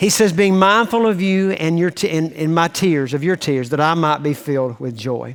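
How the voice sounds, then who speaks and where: With a Southern US accent, a man speaks at a high pitch with lively intonation. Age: 60s. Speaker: pastor. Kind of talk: sermon. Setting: church.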